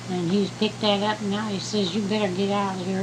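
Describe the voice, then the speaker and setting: A woman's medium-pitched voice in an American accent, fairly quick, monotone and flat in intonation, over noticeable background noise. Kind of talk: storytelling to a child. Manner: casual, folksy.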